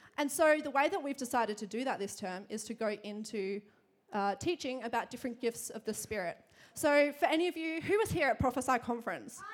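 A woman's animated, high-pitched voice with an Australian accent, very wide pitch swings, big swings in loudness and a fairly quick pace. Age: 20s. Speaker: church preacher. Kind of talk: sermon. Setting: church.

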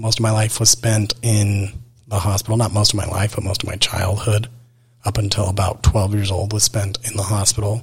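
A man with an American accent, fairly low pitch and monotone, flat intonation at a moderate pace, over noticeable background noise. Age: 20s. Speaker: podcast host. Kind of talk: personal monologue. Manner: casual, rambling with fillers.

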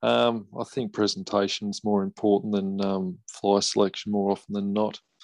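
A man with an Australian accent speaks at a moderate pace. The background is quiet and the sound is dry and close with no echo. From northwest Tasmania, Australia. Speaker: competitive fly fisherman. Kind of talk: casual interview. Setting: video call.

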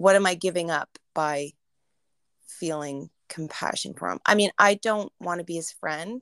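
Against a very clean recording with a silent background and a dry, close sound with no echo, a woman with a Canadian accent speaks fairly slowly at a fairly low pitch with ordinary pitch variation. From Canada. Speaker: podcast co-host. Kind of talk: casual chat.

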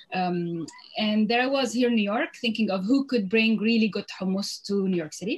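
A woman with a fairly high, somewhat breathy voice talks at a moderate pace with lively intonation. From Lebanon. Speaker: food entrepreneur. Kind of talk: interview.

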